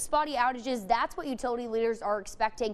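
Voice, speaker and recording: Noticeable background noise sits behind a woman with an American accent. Her high pitch moves with lively intonation. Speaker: TV news reporter and anchor. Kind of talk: live shots and standups, news reporter delivery. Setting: outdoors on location.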